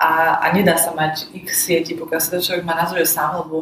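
The woman's voice is fairly low in pitch, moving at a moderate pace. Her intonation is monotone and flat. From Slovakia, Košice. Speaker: IT project manager and author. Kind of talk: casual interview. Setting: in person.

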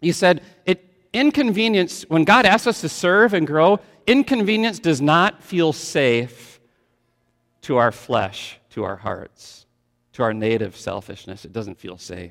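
A man with an American accent speaks at a fairly slow pace and a high pitch. His voice has very wide pitch swings and big swings in loudness. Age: 50s. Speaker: pastor. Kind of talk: sermon. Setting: church.

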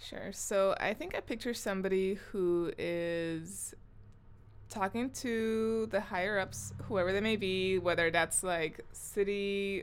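In an ordinary speaking voice with an American accent, a woman of medium pitch speaks at a fairly slow pace with fairly even intonation. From Southern California (Long Beach/Compton). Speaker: podcast co-host, artist. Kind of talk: casual chat.

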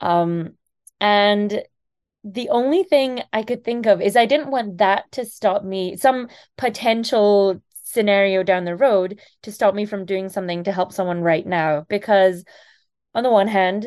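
Over a quiet background, a woman of medium pitch with a slight Scottish accent speaks at a moderate pace with ordinary pitch variation. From Scotland. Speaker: kidney donor. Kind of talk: interview.

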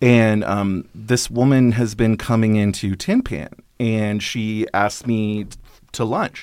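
Very slowly and with fairly even intonation, the speaker talks in a very clean recording with a silent background. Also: man, fairly low pitch for a man. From Northern California and Alaska. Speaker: film columnist and programmer. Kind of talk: casual interview.

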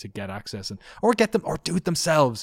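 A man with an Irish accent talks at a very fast pace on a very clean recording with a silent background. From southeast Ireland. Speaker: video documentary producer, former games journalist. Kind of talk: casual interview. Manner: rambling, fast.

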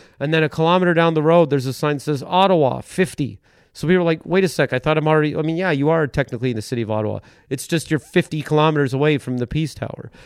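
A man's very fast voice with a Canadian accent, fairly high in pitch with ordinary pitch variation, in a dry, close sound with no echo over a quiet background. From eastern Ontario, Canada. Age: 40s. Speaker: stand-up comedian. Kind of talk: casual chat. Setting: at home.

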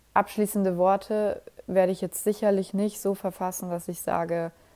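Her tone dark and mellow, a woman at medium pitch speaks at a moderate pace with monotone, flat intonation. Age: 20s. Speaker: podcast host. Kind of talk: late-night personal monologue. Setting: home at night, alone. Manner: casual, with many fillers.

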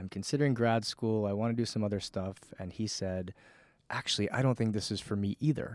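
In a plain, everyday voice, a man with an American accent talks at a fairly quick pace and a fairly low pitch. His intonation is fairly even, and the sound is dry and close with no echo on a very clean recording with a silent background. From Connecticut. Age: 30s. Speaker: fitness and wellness coach. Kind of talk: casual interview. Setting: studio.

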